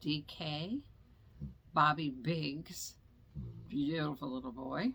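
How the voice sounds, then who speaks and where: The delivery has vocal fry. The pace is very slow. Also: woman. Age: 70s. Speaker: makeup vlogger. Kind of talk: casual chat. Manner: rambling, halting.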